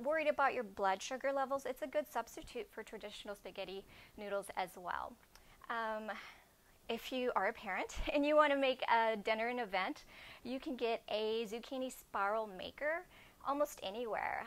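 Here a woman speaks at a moderate pace. Her pitch shows ordinary variation. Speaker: presenter. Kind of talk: cooking demo presentation. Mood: friendly, upbeat.

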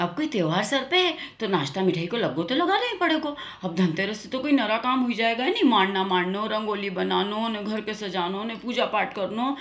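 Using an Indori accent, a woman speaks fairly high-pitched at a moderate pace with very wide pitch swings, with noticeable background noise behind her. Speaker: comedian. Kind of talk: comic monologue to camera.

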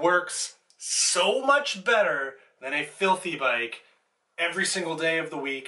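A man is speaking. His voice is raised and projected. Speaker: bike mechanic vlogger. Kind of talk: casual vlog chat. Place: home room. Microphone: camera far.

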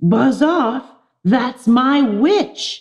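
In a put-on character voice, a female-sounding speaker growls in a croaky, shrill tone at a high pitch. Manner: gruff, menacing.

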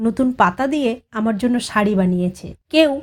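Lively intonation in an unforced reading voice, quiet background behind it.

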